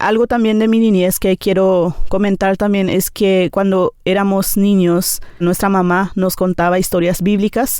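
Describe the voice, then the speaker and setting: At a moderate pace and medium pitch, a woman speaks with fairly even intonation on a very clean recording with a silent background. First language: Nivacle (speaking Spanish). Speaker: teacher. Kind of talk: interview testimony. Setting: studio. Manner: hesitant, many fillers.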